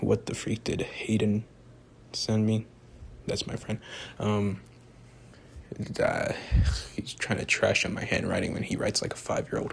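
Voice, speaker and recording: A man whispering at a moderate pace, broken by long, frequent pauses. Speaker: amateur movie reviewer. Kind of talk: casual video monologue. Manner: rambling with fillers; soft-spoken.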